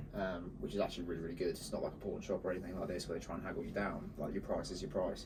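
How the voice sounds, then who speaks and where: A man talks at a very fast pace with hardly any pauses, and audible room echo. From northern England, Bolton. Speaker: marketing agency co-founder. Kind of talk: casual chat.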